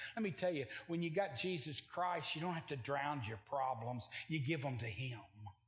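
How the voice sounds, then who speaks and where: With a somewhat breathy, animated tone and lively intonation, a man talks at a moderate pace in a fairly high pitch. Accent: American. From Oklahoma. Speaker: traveling evangelist preacher. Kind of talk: sermon. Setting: church with congregation.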